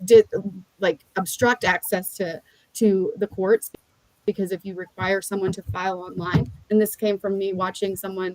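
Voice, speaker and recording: A woman at a medium pitch with fairly even intonation, dry and close with no echo. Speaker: legal tech founder. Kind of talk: podcast interview. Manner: fast.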